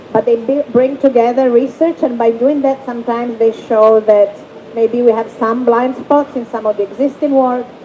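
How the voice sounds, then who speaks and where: Against noticeable background noise, a woman with a high pitch talks at a moderate pace with fairly even intonation. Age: middle-aged. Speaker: human rights rapporteur writing thematic reports. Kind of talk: panel discussion.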